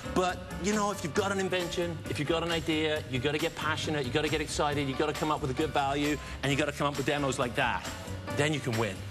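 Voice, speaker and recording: A man with a British accent speaks very fast in a fairly high pitch, with ordinary pitch variation and an enthusiastic tone. Clear music plays in the background. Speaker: TV pitchman; guest. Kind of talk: TV morning show interview with product demos. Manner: enthusiastic, flamboyant. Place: studio. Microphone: lapel.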